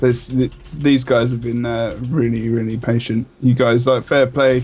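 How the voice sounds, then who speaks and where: A man with a London accent speaks in a monotone with flat intonation. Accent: London, near-Cockney, th-fronting. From northeast London, England. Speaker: esports co-caster. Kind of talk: live commentary.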